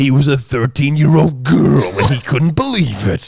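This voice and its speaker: Putting on a character voice, a man talks at a moderate pace and medium pitch, with lively intonation and very even loudness. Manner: imitating the narrator's delivery.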